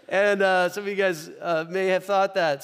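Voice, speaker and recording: A man with a Midwestern American accent talks in a high voice. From US Midwest, Omaha. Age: 40s. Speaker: pastor. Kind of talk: sermon. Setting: church. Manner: conversational.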